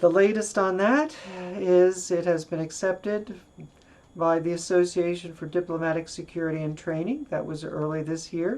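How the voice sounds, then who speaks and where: At a moderate pace and with ordinary pitch variation, a woman speaks in a fairly low voice with an American accent. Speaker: retired diplomat and transgender activist. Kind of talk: personal video message. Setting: home office.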